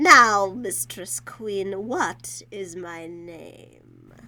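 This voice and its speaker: A female-sounding voice puts on a character voice at a middle pitch. The pace is very slow. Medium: read story. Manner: gloating, giggling.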